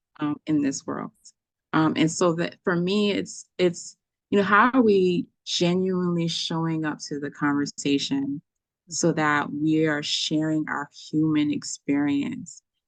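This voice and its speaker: A woman's very deep, low voice with a Haitian accent, ordinary pitch variation and a fairly slow pace, in a dry, close sound with no echo against a quiet background. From US, Haitian immigrant family. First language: Haitian Creole. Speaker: poet and artist. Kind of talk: casual chat.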